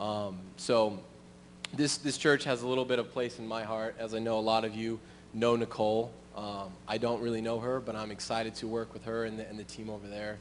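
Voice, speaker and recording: Flat, monotone man's voice at a fairly quick pace. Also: medium pitch for a man. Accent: American. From US Midwest, Springfield, Missouri. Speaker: church musician and missionary. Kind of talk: testimony. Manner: halting, many um and uh fillers.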